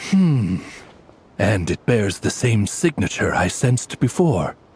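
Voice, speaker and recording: A low-pitched, put-on character voice at a fairly slow pace. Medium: video game. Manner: polite, tactful.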